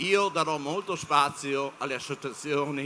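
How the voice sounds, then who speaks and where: A man talks at a very slow pace. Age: 60s. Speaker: panel speaker on media. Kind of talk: panel talk to students. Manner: halting, many fillers.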